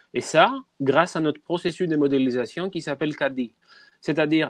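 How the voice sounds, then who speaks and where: The background is quiet, and the sound is dry and close with no echo. Pitch varies in an ordinary way at a moderate pace. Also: man. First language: not French (speaking French). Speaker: biomedical researcher. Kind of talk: webinar presentation.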